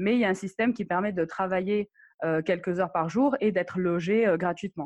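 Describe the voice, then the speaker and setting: An unremarkable speaking voice from a woman, fairly low-pitched, with ordinary pitch variation, a moderate pace, a quiet background and a dry, close sound with no echo. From Morocco. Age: 30s. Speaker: digital nomad and travel blogger. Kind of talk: interview.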